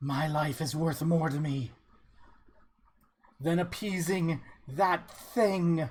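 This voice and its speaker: In a put-on character voice at a middle pitch, someone growls at a very slow pace with long, frequent pauses. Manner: snarling, defiant.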